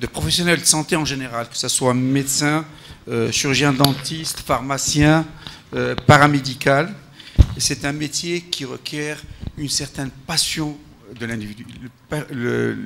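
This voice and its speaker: With noticeable background noise, a man with a fairly high pitch talks at a fairly slow pace, leaving long, frequent pauses, his loudness swinging widely. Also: fairly even intonation. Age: 60s. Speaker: health professional, panel speaker. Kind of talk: round-table talk. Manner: halting, with repetitions.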